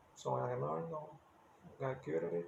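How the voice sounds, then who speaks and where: A man with a Brazilian accent over noticeable background noise. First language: Portuguese. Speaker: musician and English-learning video creator. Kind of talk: casual talk to camera.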